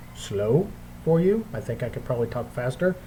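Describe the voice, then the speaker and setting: A man's dark, mellow, somewhat breathy voice comes through with audible room echo. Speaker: bible teacher. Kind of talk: bible study lecture. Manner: hesitant, many fillers.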